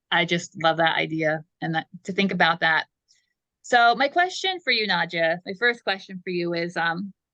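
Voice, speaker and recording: A woman with a plain, everyday voice speaks at a fairly low pitch and a moderate pace, with ordinary pitch variation. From United States. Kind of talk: interview.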